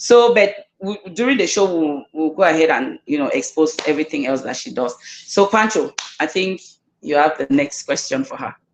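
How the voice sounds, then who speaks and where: A woman's voice makes very wide pitch swings and big swings in loudness. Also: fairly low pitch for a woman, moderate pace. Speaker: talk show host. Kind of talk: casual online talk show.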